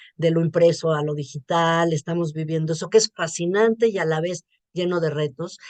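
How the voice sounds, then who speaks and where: A woman speaks with a Mexican accent at a fairly low pitch and a fairly slow pace. The sound is dry and close, with no echo. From Mexico. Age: 60s. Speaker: journalist and writer. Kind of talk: interview.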